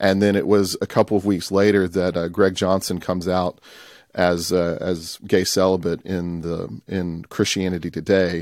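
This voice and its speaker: A man talks with a Southern US accent in a very deep, low voice. His intonation stays monotone and flat. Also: moderate pace, very clean recording, silent background. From US South, Tupelo, Mississippi. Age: 30s. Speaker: church elder and documentary producer. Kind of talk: interview conversation.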